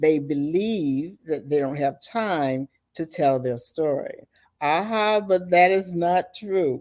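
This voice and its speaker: A woman's fairly low voice, dark and mellow in tone, at a very slow pace with ordinary pitch variation. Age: 60s. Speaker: author and motivational speaker. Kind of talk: interview. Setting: podcast.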